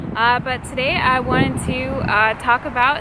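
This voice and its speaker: A woman speaks loudly in a high voice with ordinary pitch variation. Noticeable background noise and audible room echo are present. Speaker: vlogger. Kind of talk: casual vlog talk to camera. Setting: outdoors by the sea. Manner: loud, speaking up over wind; animated.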